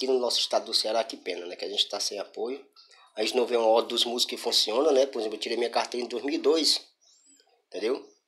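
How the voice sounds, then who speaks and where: A man talks at a very fast pace. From Brazil. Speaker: singer-songwriter and YouTuber. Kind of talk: vlog monologue. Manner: halting, many fillers. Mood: frustrated, complaining. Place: home room. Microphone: phone near.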